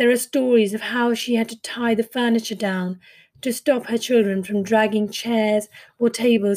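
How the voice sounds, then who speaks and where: Her intonation is flat and monotone as this woman speaks at a fairly high pitch. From India. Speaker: podcast host and author, former fund manager. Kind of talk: reading a poem and memoir-style solo narration.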